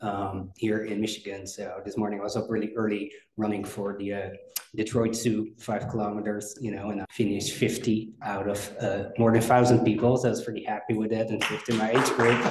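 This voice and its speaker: Fairly low-pitched male voice with monotone, flat intonation and audible room echo. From Netherlands. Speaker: company executive and cryonics researcher. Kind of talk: conference presentation.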